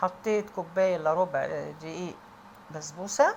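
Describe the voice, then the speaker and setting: A woman speaks with an Egyptian accent at medium pitch and a fairly slow pace. Her pitch variation is ordinary, and there's noticeable background noise. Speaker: home cook. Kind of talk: tutorial. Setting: kitchen. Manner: raised voice.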